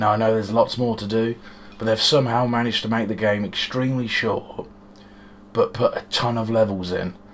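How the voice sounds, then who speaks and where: With a British accent, a man talks at a fairly quick pace in a medium pitch and fairly even intonation, with noticeable background noise behind him. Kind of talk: casual talk to camera.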